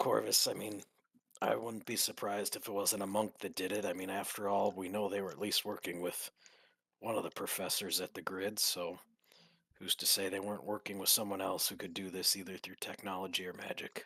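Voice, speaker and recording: A man does a raspy, put-on character voice at a fairly low pitch. He speaks fairly quickly in a monotone, flat intonation. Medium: actual play.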